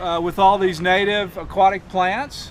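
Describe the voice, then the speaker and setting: Loud and high-pitched, a man speaks. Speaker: environmental group director. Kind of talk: speaker introduction.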